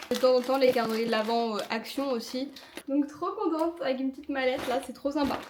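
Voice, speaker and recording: A woman talks at a very fast pace with a high pitch. Background noise is noticeable. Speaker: vlogger and makeup artist. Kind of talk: casual vlog. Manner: animated.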